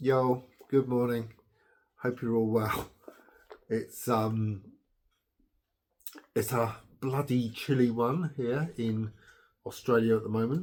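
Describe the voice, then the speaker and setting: A man with an English accent speaks at a very slow pace, leaving long, frequent pauses. His pitch is medium and his intonation fairly even. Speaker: blogger. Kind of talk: casual chat. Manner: hesitant with fillers.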